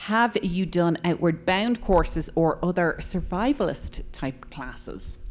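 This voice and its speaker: At a fairly slow pace, a woman uses a normal speaking voice with a fairly low pitch and lively intonation. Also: hardly any pauses. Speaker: radio book club host. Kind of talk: audience Q&A. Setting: bookstore event with live audience.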